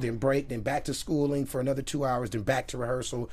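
An ordinary speaking voice, a man with an American accent talks fairly quickly at a fairly high pitch. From South Central Los Angeles. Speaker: singer and actor. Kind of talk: interview.

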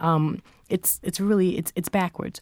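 In a very clean recording with a silent background, a woman with a plain, everyday voice speaks at a moderate pace, fairly low in pitch, with fairly even intonation. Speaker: journalist and author. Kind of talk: interview.

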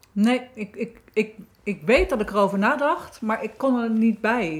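Noticeable background noise sits behind a woman whose fairly high voice shows ordinary pitch variation. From Netherlands, South Holland (Wateringen). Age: 50s. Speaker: author and therapist. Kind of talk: casual chat.

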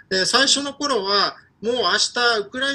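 A man's raised, projected voice. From Ukraine, with primary and middle school in Osaka. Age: 30s. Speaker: Ukrainian commentator. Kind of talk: interview. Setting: pre-recorded remote interview. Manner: animated.

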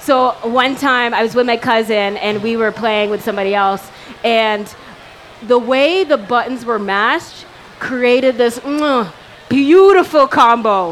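A woman's fairly high pitch, ordinary pitch variation and fairly slow pace, with noticeable background noise. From Canada. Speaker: podcast co-host, stand-up comedian. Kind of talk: casual chat. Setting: stage with live audience at gaming event.

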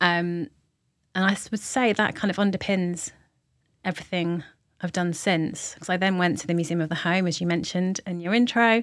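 Fairly even in intonation, a woman with a London accent speaks at a fairly low pitch on a very clean recording with a silent background. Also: moderate pace. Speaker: arts director. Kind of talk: interview.

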